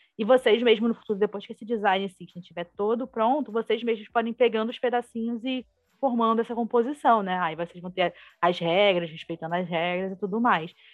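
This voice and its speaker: With music in the background, a woman talks at a fairly quick pace in a fairly high pitch with ordinary pitch variation. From Brazil, Rio de Janeiro. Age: 20s. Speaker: UX designer. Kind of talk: casual interview.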